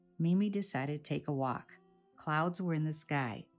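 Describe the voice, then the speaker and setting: Faint music plays behind a woman with a very deep, low pitch. She keeps a moderate pace. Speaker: children's book author reading her own book aloud. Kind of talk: children's read-aloud storytelling. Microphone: phone near.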